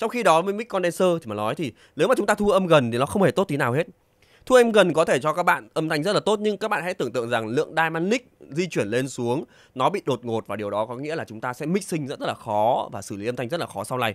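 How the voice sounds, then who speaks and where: A man at a fairly high pitch with very wide pitch swings and a very fast pace, on a very clean recording with a silent background and a dry, close sound with no echo. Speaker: audio gear reviewer. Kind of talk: tutorial.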